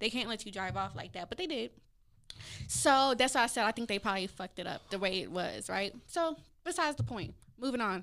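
Over a silent background in a very clean recording, a woman with a fairly high pitch talks at a fairly quick pace, her voice showing vocal fry and very wide pitch swings. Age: 20s. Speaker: podcast host. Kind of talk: casual chat.

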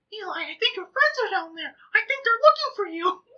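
Squeaky and extremely high in pitch, this is a put-on character voice. The delivery comes at a fairly quick pace. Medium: actual play. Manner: gushing, excitable.

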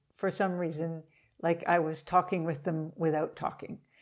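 A woman speaks in a plain, everyday voice at a fairly low pitch with fairly even intonation. The recording is very clean, with a silent background. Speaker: forest conservation strategist. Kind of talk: interview, casual chat.

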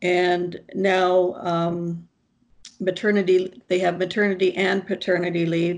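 A woman's medium-pitched voice with a Canadian accent, fairly slow and monotone, with flat intonation. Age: 60s. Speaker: nursing professor. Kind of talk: interview. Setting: video call. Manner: halting.

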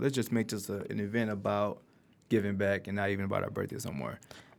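At a very fast pace, a man with an American accent and fairly low pitch speaks on a very clean recording with a silent background. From Detroit, Michigan. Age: 30s. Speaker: nonprofit founder. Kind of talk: casual interview.

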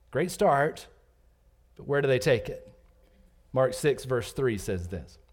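Speaking very slowly with vocal fry, a man with an American accent uses a fairly high pitch amid audible room echo. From US South, Georgia. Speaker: pastor. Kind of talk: sermon. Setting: church.

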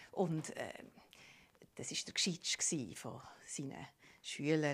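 Someone with a Swiss accent speaks at a fairly slow pace. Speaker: storyteller. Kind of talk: improvised storytelling. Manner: animated.

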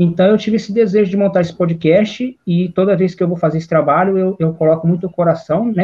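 A man talks at a very fast pace in a high voice. His intonation stays fairly even. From interior of São Paulo state, Brazil. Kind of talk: interview answers. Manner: hesitant, repeating words.

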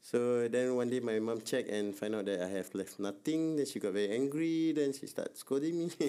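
A man speaks at a moderate pace in a medium pitch with ordinary pitch variation. His tone is dark and mellow. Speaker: podcast co-host. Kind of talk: casual chat.

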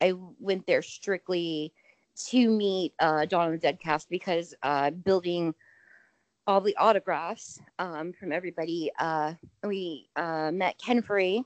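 A woman with an American accent speaks at a very slow pace and a fairly low pitch, with ordinary pitch variation, a dry, close sound with no echo and a quiet background. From Indiana. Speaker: horror podcast host. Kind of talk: casual chat.

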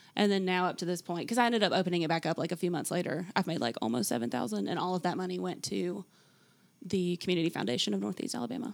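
A woman talks at a very fast pace with vocal fry, a fairly low pitch and very wide pitch swings, in a very clean recording with a silent background. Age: 20s. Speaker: hand-lettering artist and small business owner. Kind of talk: interview.

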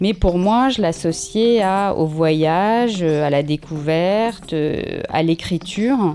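A woman's fairly low, dark, mellow voice with lively intonation. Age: 50s. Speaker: journalist and author. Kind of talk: interview.

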